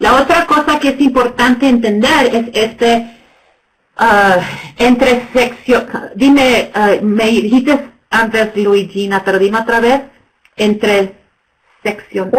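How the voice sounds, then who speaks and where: In an English accent, the speech comes at a very slow pace with long, frequent pauses, very even loudness and ordinary pitch variation. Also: woman, fairly high pitch for a woman. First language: English (speaking Spanish). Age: 50s. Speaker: nonprofit executive director. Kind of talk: webinar presentation. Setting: webinar. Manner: halting, many fillers.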